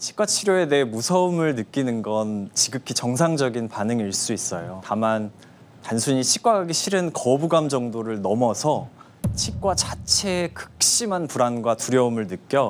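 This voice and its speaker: The speaker talks at a fairly slow pace with a Chungcheong accent. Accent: Chungcheong regional Korean. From Chungcheong, Korea. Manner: slow, calm, explanatory.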